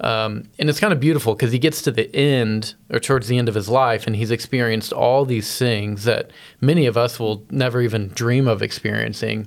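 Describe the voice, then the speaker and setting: Speaking at a fairly quick pace with hardly any pauses, a man has an unremarkable speaking voice and fairly even intonation. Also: medium pitch for a man. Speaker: church podcast co-host. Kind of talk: casual chat.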